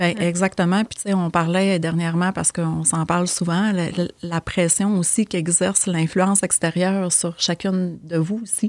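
At a moderate pace, a woman speaks in a fairly low pitch with monotone, flat intonation on a very clean recording with a silent background. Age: 40s. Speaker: social worker. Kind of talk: casual interview chat.

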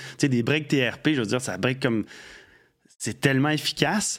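A very clean recording of a man at an even, medium speed, the background silent. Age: 50s. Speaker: radio host and former bike shop co-owner. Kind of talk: casual chat.

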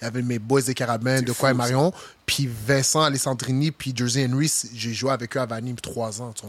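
At a fairly quick pace, a man delivers his lines in a monotone, flat intonation at medium pitch. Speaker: football player. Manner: intense.

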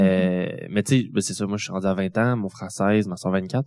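In a plain, everyday voice, a man talks at a fairly quick pace and fairly low pitch, with ordinary pitch variation. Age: 20s. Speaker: family caregiver and student. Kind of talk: testimony. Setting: stage with audience.

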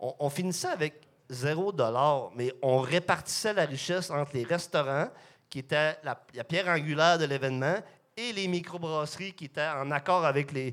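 Very clean recording, silent background. A man with an ordinary speaking voice talks at a moderate pace, his fairly high pitch showing ordinary pitch variation. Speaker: microbrewery co-owner. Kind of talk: casual chat.

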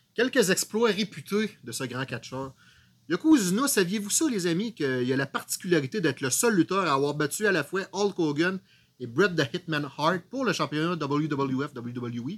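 A high-pitched man's voice with lively intonation at a moderate pace. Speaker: wrestling podcast co-host. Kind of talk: casual chat.

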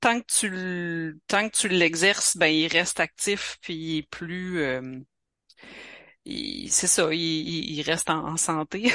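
A woman speaks in a Quebec accent with a bright, sharp tone. The sound is dry and close with no echo, over a quiet background. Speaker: author. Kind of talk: interview.

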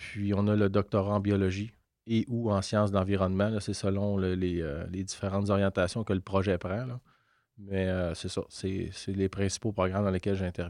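A man's fairly low, monotone, flat delivery at a moderate pace against a quiet background. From Quebec, Lanaudière (near Joliette). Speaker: university professor and researcher. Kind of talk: interview. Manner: halting, many repetitions.

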